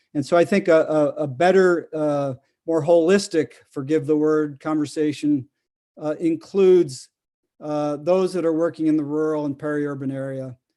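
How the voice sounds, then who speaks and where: A man's fairly high voice with a dark, mellow tone, at a moderate pace and with fairly even intonation, on a very clean recording against a silent background. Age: 60s. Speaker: urban farmer and nonprofit founder. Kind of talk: conference presentation. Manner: halting, many fillers.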